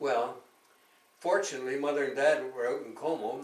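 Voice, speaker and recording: A man with a Canadian accent speaks at a moderate pace, medium pitch and fairly even intonation. Audible room echo and noticeable background noise accompany him. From Canada. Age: 90s. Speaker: war veteran. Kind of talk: casual chat.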